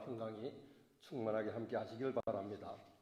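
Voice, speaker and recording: With audible room echo, a man speaks at a moderate pace in a somewhat breathy voice of medium pitch, with a dark, mellow tone and ordinary pitch variation. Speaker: pastor. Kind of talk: sermon. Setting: church. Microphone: voice echoing.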